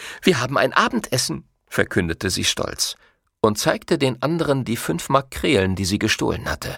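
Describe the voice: Over a quiet background, lively intonation in plain reading aloud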